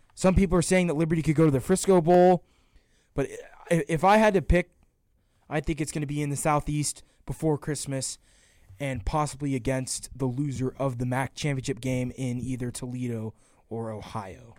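A man with an American accent speaks at a moderate pace in a plain, everyday voice, his fairly high pitch moving with ordinary variation. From Georgia, US South. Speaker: sports podcast co-host. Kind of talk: casual sports talk.

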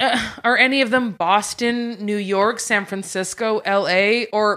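Bright, sharp speech in a Canadian accent, fairly slow, with ordinary pitch variation. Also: woman. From Quebec, Montreal. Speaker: improviser and actor. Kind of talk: comedic casual chat.

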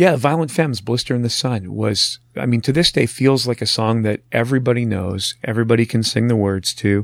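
An ordinary speaking voice, a man at medium pitch with ordinary pitch variation, a fairly quick pace with hardly any pauses, and a dry, close sound with no echo. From northern Ontario, Canada. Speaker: radio executive and author. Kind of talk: casual interview.

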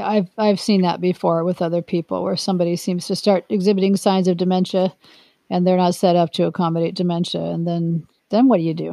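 A woman with an unremarkable speaking voice talks fairly quickly at a fairly low pitch. Her intonation is fairly even, and the background is quiet. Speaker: podcast host and retirement coach. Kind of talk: interview, conversational.

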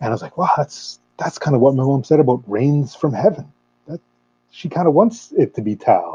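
This man speaks with a Canadian accent in a dark, mellow, somewhat breathy voice. His pitch swings very widely. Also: fairly high pitch for a man, moderate pace. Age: 30s. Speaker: metal fan club member. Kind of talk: casual chat. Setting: video call.

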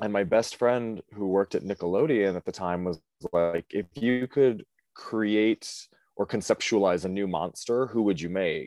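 A man with a normal speaking voice talks at a fairly low pitch and moderate pace, with ordinary pitch variation. The sound is dry and close with no echo, over a quiet background. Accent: American. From US Midwest, Cleveland area, Ohio. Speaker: drag queen. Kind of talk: casual chat.

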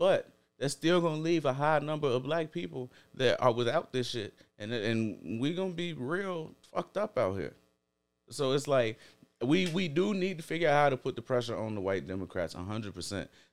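Over music in the background, a man talks at a moderate pace with a fairly high pitch and very wide pitch swings. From Chicago, US. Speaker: podcast guest. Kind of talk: casual chat.

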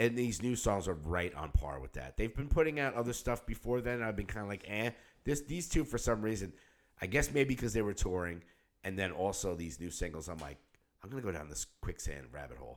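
A man's fairly low voice with vocal fry and very wide pitch swings, at a fairly quick pace, in a very clean recording with a silent background. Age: 50s. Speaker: podcast co-host and musician. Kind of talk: casual chat. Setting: studio.

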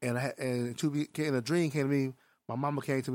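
A man with a fairly high pitch speaks at a fairly quick pace in a fairly even intonation, in a very clean recording with a silent background. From Milwaukee, Wisconsin. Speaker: music executive and liquor entrepreneur. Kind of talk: casual interview.

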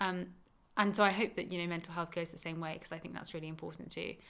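A woman with an English accent speaks in a fairly low voice with a bright, sharp tone and vocal fry. Her intonation is monotone and flat, while her loudness swings widely. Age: 20s. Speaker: cancer survivor. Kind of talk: interview.

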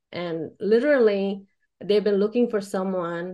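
A woman with an American accent uses a normal speaking voice at a medium pitch and a fairly slow pace. Her pitch varies in an ordinary way against a quiet background. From India (Chennai) then Oklahoma. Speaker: web marketing business owner. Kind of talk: speech to networking group.

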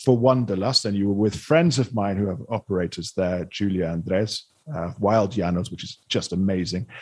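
A man's unremarkable speaking voice, fairly low in pitch, with ordinary pitch variation against a quiet background. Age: 40s. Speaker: podcast host, journalist and hotelier. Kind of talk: casual interview chat.

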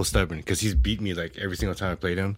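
A man with an American accent and vocal fry on a very clean recording with a silent background. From California, San Jose Bay Area. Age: 40s. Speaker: former IT service desk manager. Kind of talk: casual chat.

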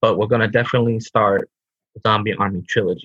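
This man's voice sits fairly low and is somewhat breathy, delivered at a moderate pace in a flat, monotone intonation. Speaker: co-host. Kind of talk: casual chat.

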